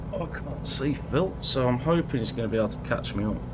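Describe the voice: A man speaks at a moderate pace with lively intonation. Background noise is clearly audible.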